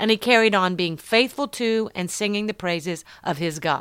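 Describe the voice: A plain read-aloud passage, its pitch moving in an ordinary way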